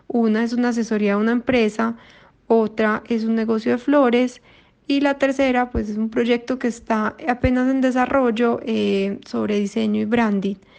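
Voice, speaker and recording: A woman with a Colombian accent, fairly high in pitch, monotone and flat, at a moderate pace. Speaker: listener with a question, self-employed. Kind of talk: recorded voice message question. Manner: hesitant with fillers.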